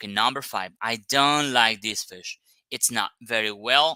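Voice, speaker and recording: A man speaks in a non-native accent with a bright, sharp tone. The sound is dry and close, with no echo. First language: not English. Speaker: English teacher. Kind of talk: online lesson. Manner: hesitant, many fillers.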